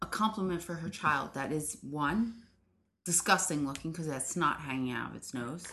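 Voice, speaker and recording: At a moderate pace, a woman with a very deep, low pitch speaks in an animated, bright and sharp tone, with ordinary pitch variation and big swings in loudness. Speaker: guest. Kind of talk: casual banter. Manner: animated, laughing.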